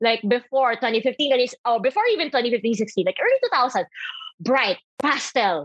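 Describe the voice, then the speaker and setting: A woman with a Filipino accent, high-pitched, at a moderate pace, her loudness very even, in a dry, close sound with no echo. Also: lively intonation. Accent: Filipino English, Taglish. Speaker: creative and radio DJ. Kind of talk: casual interview chat.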